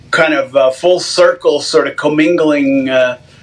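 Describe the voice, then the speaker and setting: Noticeable background noise sits behind this man's voice. He has a fairly high pitch with ordinary variation. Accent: American. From Los Angeles, US West Coast. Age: 60s. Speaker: punk rock drummer. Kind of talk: podcast interview. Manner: halting, many repeated words and fillers.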